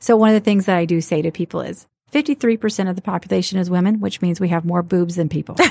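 At a very fast pace, a somewhat breathy voice with a dark, mellow tone and an American accent shows ordinary pitch variation, recorded dry and close with no echo against a very clean, silent background. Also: woman, medium pitch for a woman. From US South, Alabama. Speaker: bra shop owner and entrepreneur. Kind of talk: casual interview.

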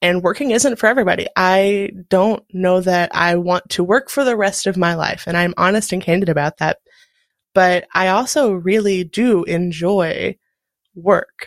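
A plain, everyday voice moves at a moderate pace with ordinary pitch variation, in a dry, close sound with no echo. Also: woman, medium pitch for a woman. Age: 30s. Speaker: graphic designer, podcast guest. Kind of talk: interview testimony.

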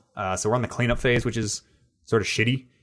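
An unremarkable speaking voice with fairly even intonation comes through over a quiet background. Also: man. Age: 20s. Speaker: gaming podcast host and streamer. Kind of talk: casual chat.

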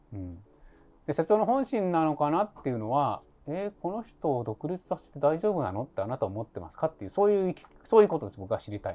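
A man's fairly high, dark and mellow voice at a very fast pace, with very wide pitch swings and big swings in loudness. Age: 50s. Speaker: labor and social security attorney. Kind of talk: casual chat.

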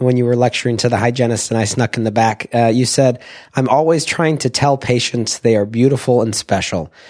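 A man with a plain, everyday voice speaks at medium pitch. His pace is moderate and his intonation fairly even. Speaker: interviewer. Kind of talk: interview questions.

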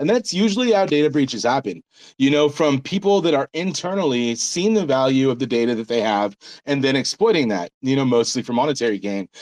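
Using an American accent, a man talks at a fairly quick pace in an animated tone, with a medium pitch, very wide pitch swings and a dry, close sound with no echo. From United States. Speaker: crypto startup founder. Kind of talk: casual chat. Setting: video call.

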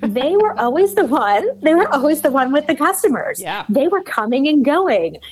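Amid noticeable background noise, a woman with an American accent and a high voice speaks at a moderate pace with very wide pitch swings and hardly any pauses. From US Midwest, Cleveland, Ohio. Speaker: sales author and consultant. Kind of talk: interview conversation.

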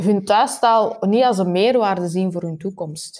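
In a very clean recording with a silent background, a woman speaks fairly slowly at a medium pitch, her tone dark and mellow and her pitch varying in an ordinary way. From Belgium, Antwerp. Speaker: university researcher. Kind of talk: interview.

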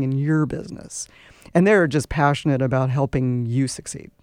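The voice has a dark, mellow tone and a moderate pace. The recording is very clean, with a silent background. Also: woman. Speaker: business accelerator club president. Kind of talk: radio interview. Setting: radio studio.

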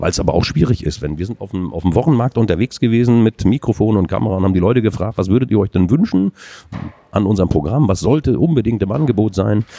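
Speaking at a very fast pace, a man has a fairly low pitch and lively intonation. The sound is dry and close, with no echo. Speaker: adult education manager. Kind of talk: interview. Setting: conference exhibition booth.

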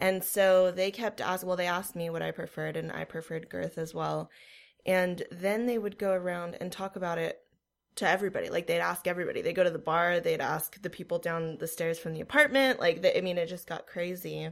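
Over a silent background in a very clean recording, a woman talks at a fairly quick pace. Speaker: guest. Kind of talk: casual banter, raunchy comedy chat.

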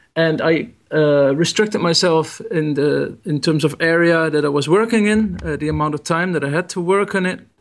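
A man with a Dutch accent speaks at a moderate pace, his fairly high pitch showing ordinary variation. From Netherlands. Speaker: photographer. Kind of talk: interview. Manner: halting.

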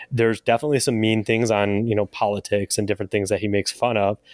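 Intonation stays fairly even in an ordinary speaking voice. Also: man. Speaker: podcast co-host. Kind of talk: casual chat. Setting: remote call.

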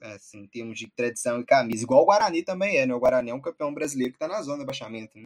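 Talking at a very fast pace with hardly any pauses, a man at a medium pitch shows big swings in loudness in a dry, close sound with no echo. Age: 20s. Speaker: football podcast host. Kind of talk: casual football discussion.

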